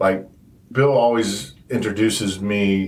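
A man talks in a very deep, low voice. It is somewhat breathy. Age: 40s. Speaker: guest sharing stepfamily experience. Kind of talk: casual interview.

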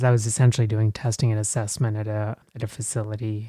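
A man with an American accent talks very fast in a flat monotone at a medium pitch. His tone is dark and mellow, and the sound is dry and close with no echo. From Texas. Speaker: psychologist and podcaster. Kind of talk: interview. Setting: remote recording.

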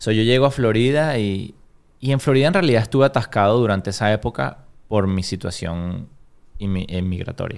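A normal speaking voice from a man, fairly low-pitched, at a moderate pace with lively intonation, on a very clean recording with a silent background. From Venezuela, Caracas. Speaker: business owner. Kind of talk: interview.

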